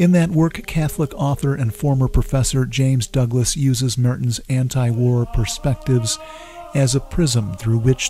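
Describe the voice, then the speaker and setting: Faint music plays behind a man's voice. The sound is dry, with no echo. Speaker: documentary narrator, blog host. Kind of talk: documentary narration.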